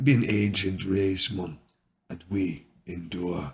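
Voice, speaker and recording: In a put-on character voice, a man talks at a very deep, low pitch and a fairly slow pace. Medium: read story.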